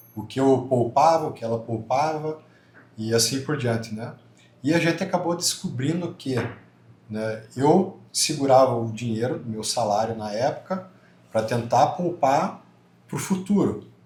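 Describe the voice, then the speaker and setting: With lively intonation and long, frequent pauses, a man speaks in a southern Brazilian accent amid audible room echo. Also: medium pitch for a man, fairly slow pace. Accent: southern Brazilian, kept. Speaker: church couple guest. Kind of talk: podcast-style conversation.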